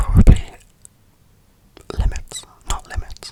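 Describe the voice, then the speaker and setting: The voice whispers in a relaxed tone. Noticeable background noise can be heard. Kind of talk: ASMR whisper ramble about video games. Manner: whispered, soft, relaxed.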